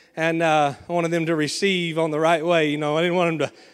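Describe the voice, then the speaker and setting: Speaking with a Southern US accent, a man talks at a fairly quick pace. His voice is high in pitch. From Arkansas. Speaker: pastor. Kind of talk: sermon. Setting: church. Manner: animated.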